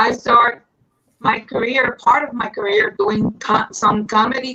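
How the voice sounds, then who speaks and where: A woman with a Puerto Rican accent speaks in a bright, sharp tone, her intonation fairly even and her pace fairly slow. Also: fairly high pitch for a woman. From Puerto Rico. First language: Spanish. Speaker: singer and actress. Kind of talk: interview. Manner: halting.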